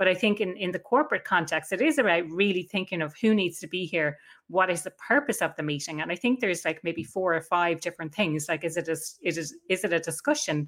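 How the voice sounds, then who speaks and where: The speaker talks at a very fast pace with an Irish accent. Hardly any pauses come, and the intonation is lively. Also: woman, fairly low pitch for a woman. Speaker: workplace happiness consultant and coach. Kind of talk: interview. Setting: video call.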